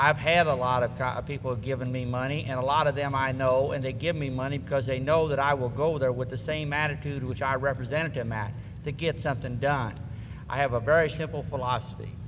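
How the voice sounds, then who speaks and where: With an American accent, a man at medium pitch talks very fast with fairly even intonation, over noticeable background noise and audible room echo. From Missouri. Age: 60s. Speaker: political candidate. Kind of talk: candidate forum answer.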